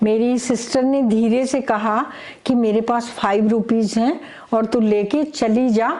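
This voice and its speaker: A woman speaks in a plain, everyday voice, fairly high in pitch, with fairly even intonation and very even loudness. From Haryana, India (Jind). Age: 60s. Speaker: gold medalist athlete. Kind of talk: interview.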